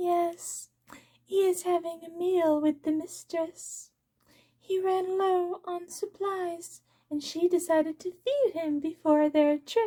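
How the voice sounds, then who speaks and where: A put-on character voice at an extremely high pitch. It moves at a fairly slow pace. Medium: read story. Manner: calm, matter-of-fact.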